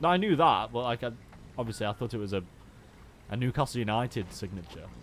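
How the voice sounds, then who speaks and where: A man talks with a Stoke accent at a very fast pace. His intonation is lively. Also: medium pitch for a man. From Stoke-on-Trent, England. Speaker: video game streamer. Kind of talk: casual live-stream commentary while gaming.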